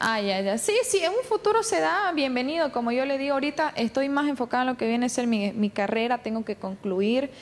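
A woman's high voice at a fairly quick pace, with very wide pitch swings and very even loudness. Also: hardly any pauses. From Bolivia. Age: 20s. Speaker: beauty queen and communication student; interviewee. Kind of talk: TV interview. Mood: defensive, firm. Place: street. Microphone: handheld.

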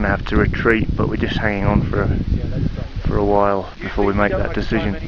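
Loud noise fills the background behind a man speaking. The sound is dry, with no echo. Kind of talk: casual vlog commentary. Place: open country. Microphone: phone near.

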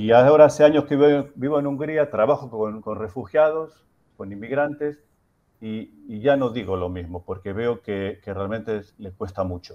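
Speaking at a fairly slow pace with a Rioplatense accent, a man uses a dark, mellow tone at medium pitch, with lively intonation and big swings in loudness. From Argentina. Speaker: social worker and anthropologist; reader taking part in a debate. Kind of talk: panel debate. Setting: video call from Hungary. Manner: halting, hesitant. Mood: reflective, personal. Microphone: earbuds.

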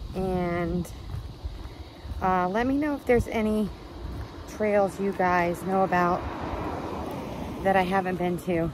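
A woman speaks at a fairly slow pace with ordinary pitch variation. The sound is dry with no echo, and there is noticeable background noise. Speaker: hiking vlogger. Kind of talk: casual vlog chat. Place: street. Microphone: phone near.

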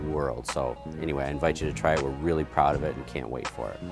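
Clear music can be heard behind the voice. The speaker is a man. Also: dry sound with no echo. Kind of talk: interview answer. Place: street. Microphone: lapel.

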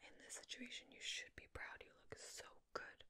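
A woman whispers. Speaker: roleplay host. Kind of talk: soft-spoken roleplay to viewer.

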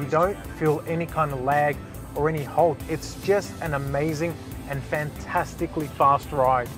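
Over clear background music, a man speaks at a fairly slow pace with ordinary pitch variation, the sound dry with no echo. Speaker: presenter. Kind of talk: test drive review commentary. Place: car. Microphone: lapel.

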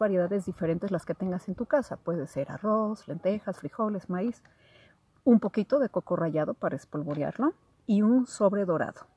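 A woman's dark, mellow tone with lively intonation, moderate pace, and a dry sound with no echo. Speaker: spiritual content creator. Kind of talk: casual vlog chat, instructions. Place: garden. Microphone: phone near.

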